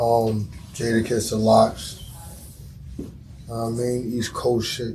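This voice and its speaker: A man of medium pitch talks at a fairly slow pace with long, frequent pauses and monotone, flat intonation. Audible room echo and noticeable background noise fill the recording. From Mount Vernon, New York. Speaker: rapper. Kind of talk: casual interview.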